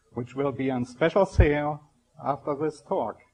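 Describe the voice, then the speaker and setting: A fairly high-pitched man's voice in a strong German accent, with fairly even intonation. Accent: heavy German. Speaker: scientist giving a spiritual talk. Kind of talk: public lecture. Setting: stage with audience. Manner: slow; formal.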